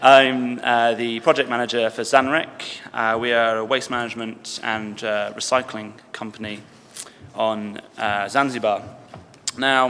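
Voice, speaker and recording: A man at medium pitch and a fairly slow pace, fairly even in intonation, over noticeable background noise. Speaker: project manager of a recycling company. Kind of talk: conference presentation.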